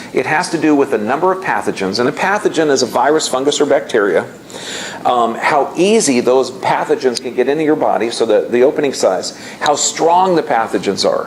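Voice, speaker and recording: Noticeable background noise and audible room echo surround the recording. A man with a fairly high pitch talks at a fairly quick pace with lively intonation. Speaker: health seminar speaker. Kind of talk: lecture.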